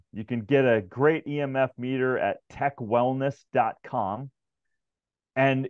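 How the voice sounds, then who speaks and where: A man speaks at a fairly slow pace in a plain, everyday voice pitched in the middle range. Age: 50s. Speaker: wellness expert and author. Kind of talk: casual interview.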